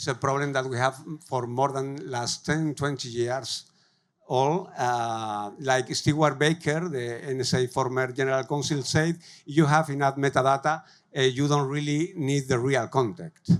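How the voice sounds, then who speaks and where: A man with a Spanish accent speaks at a fairly slow pace and a fairly high pitch, with fairly even intonation. The recording is very clean, with a silent background. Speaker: tech company growth lead, conference speaker. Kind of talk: conference talk. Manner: halting, many fillers.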